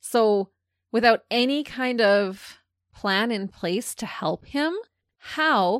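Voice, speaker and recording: In a normal speaking voice, a woman speaks at a fairly high pitch, recorded very cleanly against a silent background with a dry, close sound and no echo. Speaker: true crime podcast co-host. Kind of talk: casual chat.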